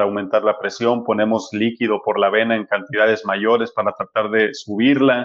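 A man speaks at a fairly quick pace with a medium pitch. His intonation is monotone and flat. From Mexico, Sinaloa (Culiacán). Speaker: medical doctor. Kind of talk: interview.

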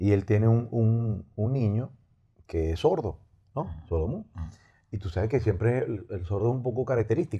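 Against a quiet background, the voice is somewhat breathy with a dark, mellow tone, lively intonation and a moderate pace. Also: man, medium pitch for a man. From Venezuela, raised Los Teques, life in Maracaibo. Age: 50s. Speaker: musician. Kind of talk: casual chat. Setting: studio.

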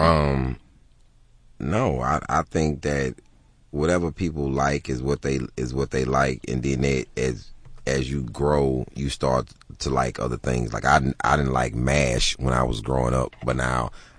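A man's very deep, low voice at a fairly slow pace and fairly even intonation, with noticeable background noise. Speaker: stand-up comedian. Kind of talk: casual radio interview. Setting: radio studio.

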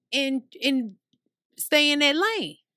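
A raised, projected voice with a bright, sharp tone and lively intonation moves at a fairly slow pace, sounding animated on a very clean recording with a silent background. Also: woman. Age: 30s. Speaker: podcast host, guest on this show. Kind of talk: casual chat.

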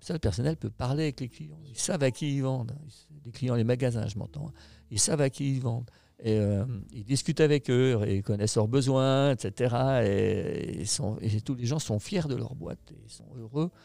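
A man's dark, mellow tone with lively intonation. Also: medium pitch for a man, moderate pace, big swings in loudness. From France, Haute-Savoie. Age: 60s. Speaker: company founder and boss. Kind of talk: interview. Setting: company headquarters. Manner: hesitant, many fillers.

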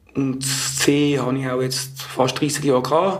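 A man with a medium pitch and fairly even intonation talks through audible room echo and noticeable background noise. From Switzerland, Zurich area. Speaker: former drug user. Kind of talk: testimony. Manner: halting.

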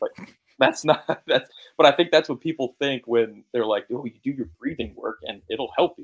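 With an unremarkable speaking voice and an American accent, a man talks at a moderate pace and fairly high pitch, with ordinary pitch variation. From Connecticut. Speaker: professional baseball pitcher. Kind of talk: casual chat. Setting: video call.

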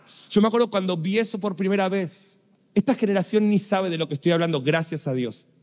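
In a Rioplatense accent, a man talks at a very fast pace with a high pitch and an animated tone. His pitch variation is ordinary, and the recording is very clean with a silent background. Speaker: preacher. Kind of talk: sermon.

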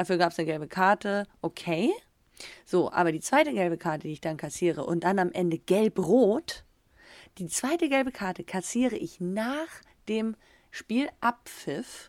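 A woman talks at a medium pitch in an animated tone with very wide pitch swings, the sound dry and close with no echo. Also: moderate pace. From Germany. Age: 30s. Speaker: professional footballer and podcast co-host. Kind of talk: casual chat. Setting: video call.

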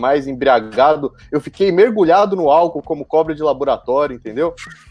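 A man's fairly high voice with lively intonation at a moderate pace, dry and close with no echo, music playing behind. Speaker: football fan panelist. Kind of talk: casual chat. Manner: animated.

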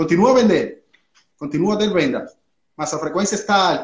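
Speaking very fast, a man uses a high voice with ordinary pitch variation. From Cuba. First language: Spanish (speaking Portuguese). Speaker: physiotherapist and e-commerce owner. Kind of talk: mentoring consultation. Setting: live online session. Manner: halting, code-switching.

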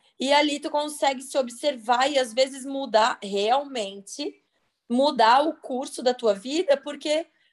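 A high-pitched woman's voice at a very slow pace. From Santa Catarina, Brazil. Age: 30s. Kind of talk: casual chat. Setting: video call.

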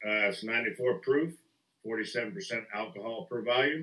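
Pitch moves with ordinary variation. The voice has a bright, sharp tone. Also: man. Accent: Southern US. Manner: joking, profane.

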